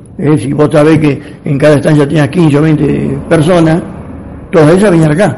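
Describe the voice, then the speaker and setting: In a room with audible echo and noticeable background noise, a man speaks at a moderate pace. His voice is fairly high, with ordinary pitch variation. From Argentina, rural Buenos Aires province. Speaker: retired rural worker. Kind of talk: interview. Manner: rambling, halting.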